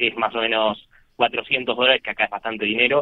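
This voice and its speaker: This man talks at a fairly quick pace. His delivery moves along briskly. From Argentina. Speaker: poker industry businessman, former pro player. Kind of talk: interview.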